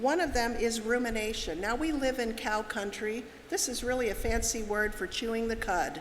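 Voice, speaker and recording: A woman at a moderate pace, with ordinary pitch variation and audible room echo. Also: fairly high pitch for a woman. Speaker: seminar speaker. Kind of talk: lecture. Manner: direct.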